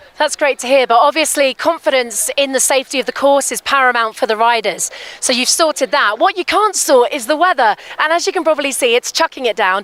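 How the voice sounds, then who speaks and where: Against noticeable background noise, a woman speaks very fast in a high voice with lively intonation and a dry, close sound with no echo. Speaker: trackside reporter. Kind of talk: live interview. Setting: outdoors at start line in rain.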